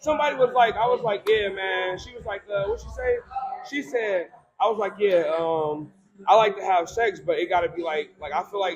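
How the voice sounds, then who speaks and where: With an American accent, a high-pitched man talks at a fairly quick pace with ordinary pitch variation over noticeable background noise. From Cleveland, Ohio. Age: 30s. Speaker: life coach. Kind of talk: casual chat.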